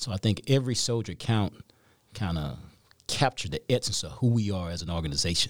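This man has a very deep, low voice with a Southern US accent. His intonation is lively. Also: very clean recording, silent background. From Mississippi, US South. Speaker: senior enlisted army leader. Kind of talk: interview.

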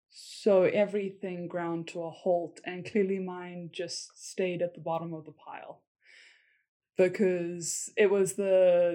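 In a very clean recording with a silent background, a woman with a South African accent speaks at a medium pitch in a dark, mellow tone. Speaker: military spouse, former English teacher. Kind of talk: casual interview.

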